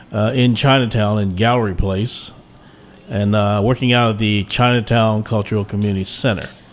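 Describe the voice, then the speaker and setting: A man with an American accent speaks at a moderate pace and medium pitch. He has a normal speaking voice with fairly even intonation. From Washington D.C. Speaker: martial arts and lion dance teacher. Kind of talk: interview. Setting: studio.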